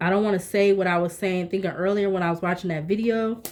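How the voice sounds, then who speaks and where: In a flat, monotone delivery, a woman speaks at a medium pitch. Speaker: tarot reader. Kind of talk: tarot reading. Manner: fast.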